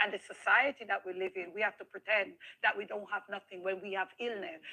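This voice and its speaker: Speaking with a Jamaican accent, a woman talks at a very fast pace and medium pitch. Her loudness swings widely, while her pitch variation stays ordinary. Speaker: interviewee sharing life story. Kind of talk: interview testimony. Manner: animated.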